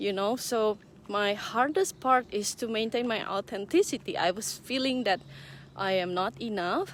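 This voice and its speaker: A woman at medium pitch with a non-native accent, ordinary pitch variation, and a fairly slow pace. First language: not English. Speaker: online business owner and mentor. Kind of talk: casual vlog talk. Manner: hesitant, many fillers.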